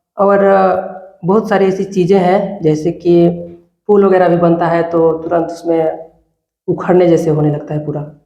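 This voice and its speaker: Over audible room echo, a man with a high pitch speaks in a monotone, flat way, leaving long, frequent pauses. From India, Chhattisgarh (Balrampur district). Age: 20s. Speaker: village election candidate, student. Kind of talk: interview. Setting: studio.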